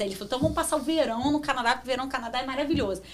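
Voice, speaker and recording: Talking at a very fast pace, a woman with a Rio de Janeiro accent uses ordinary pitch variation. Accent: Carioca Brazilian Portuguese. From Brazil, Rio de Janeiro. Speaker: marketing professional. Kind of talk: interview.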